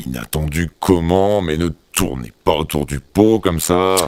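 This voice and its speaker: A man performs a put-on character voice. His pitch is very deep and low. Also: moderate pace. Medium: audio drama.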